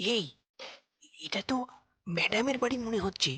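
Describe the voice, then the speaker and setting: A woman does a raspy, put-on character voice at a fairly high pitch. She keeps a moderate pace with ordinary pitch variation. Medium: short film.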